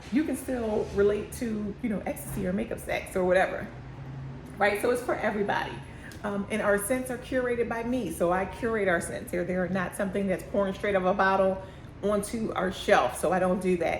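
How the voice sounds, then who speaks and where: A woman speaks with an American accent and ordinary pitch variation. Room echo is audible. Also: medium pitch for a woman, fairly quick pace. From Philadelphia. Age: 50s. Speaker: candle business owner. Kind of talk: casual vlog talk. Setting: shop by busy street. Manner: fast; chews gum, lip smacking.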